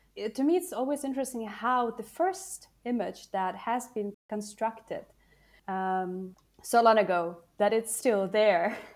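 A woman speaks in an ordinary speaking voice, fairly high in pitch, with lively intonation. She goes at a fairly slow pace in a very clean recording with a silent background. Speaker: podcast co-host. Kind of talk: interview.

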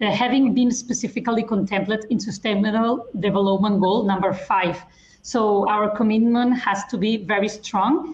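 A woman with a fairly high pitch and a somewhat breathy voice talks at a moderate pace, her loudness very even and her intonation fairly even. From Spain. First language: Spanish or Catalan. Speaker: lawyer. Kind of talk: panel discussion. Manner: formal.

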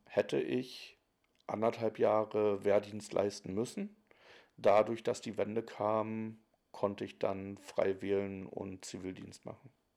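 In a very clean recording with a silent background, a man speaks very slowly in a fairly low pitch with a dark, mellow tone. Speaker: interviewee. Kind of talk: recorded interview.

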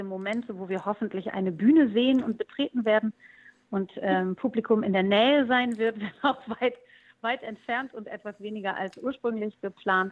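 Talking at a moderate pace, a woman has an unremarkable speaking voice, a fairly high pitch and ordinary pitch variation. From East Frisia, northern Germany. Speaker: musician. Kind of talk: interview.

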